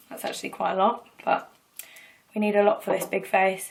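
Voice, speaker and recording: A woman with an English accent, fairly high in pitch, with fairly even intonation. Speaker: singer and beauty vlogger. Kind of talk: tutorial. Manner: chatty, fast.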